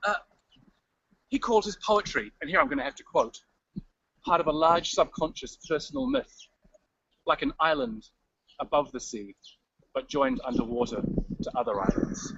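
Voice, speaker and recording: Making very wide pitch swings and big swings in loudness, a man speaks at a high pitch with long, frequent pauses. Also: moderate pace. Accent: New Zealand. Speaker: writer giving a city tour. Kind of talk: live walking tour on video stream. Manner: casual, animated.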